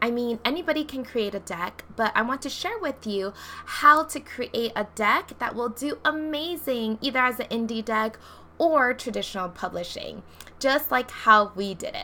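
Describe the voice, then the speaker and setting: Over noticeable background noise, a woman speaks. Her voice is high-pitched and animated. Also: lively intonation, moderate pace. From Hawaii. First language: not English. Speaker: tarot deck creator and coach. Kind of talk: casual vlog tutorial.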